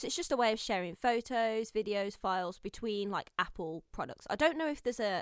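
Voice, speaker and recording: Someone with a Brummie accent speaks with lively intonation in a very clean recording with a silent background. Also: woman, dry, close sound with no echo. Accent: Brummy (Birmingham). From Birmingham, England. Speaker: podcast host. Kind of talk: casual chat.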